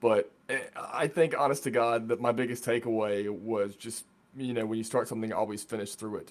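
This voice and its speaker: A man with a Southern US accent, fairly low in pitch, with fairly even intonation. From US South, Virginia. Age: 20s. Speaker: voice actor. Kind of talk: casual chat.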